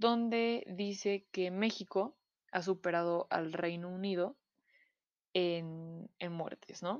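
Against a quiet background, a woman with a Mexican accent talks at a medium pitch with ordinary variation, the sound dry and close with no echo. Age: 20s. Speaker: podcast host. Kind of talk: casual chat. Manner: hesitant, frequent fillers.

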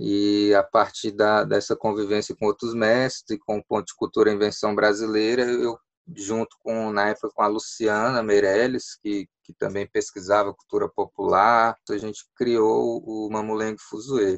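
The voice is monotone and flat, with hardly any pauses and big swings in loudness. The sound is dry and close, with no echo. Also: man, fairly low pitch for a man. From Brazil, Ceilândia (Federal District). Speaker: puppeteer and arts association president. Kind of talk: radio interview. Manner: hesitant with fillers.

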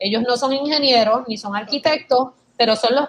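A woman's high-pitched voice with a Puerto Rican accent, at a moderate pace with ordinary pitch variation. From Puerto Rico. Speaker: former advertising worker, emigrant. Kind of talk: casual interview.

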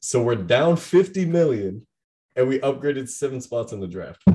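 A man with an American accent talks at a moderate pace with lively intonation. His tone is dark and mellow, and his voice is somewhat breathy. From US Pacific Northwest (Bend, Oregon). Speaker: college student. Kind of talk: casual chat. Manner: slurred in normal speech.

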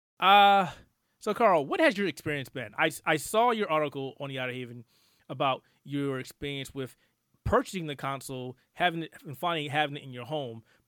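On a very clean recording with a silent background, a man with an ordinary speaking voice talks at a fairly quick pace and fairly high pitch, with lively intonation and big swings in loudness. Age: 40s. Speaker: gaming podcast host. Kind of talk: casual chat.

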